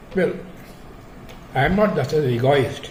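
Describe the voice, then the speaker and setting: Noticeable background noise sits behind a man's fairly high-pitched voice. His pitch varies in an ordinary way. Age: 90s. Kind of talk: interview answer.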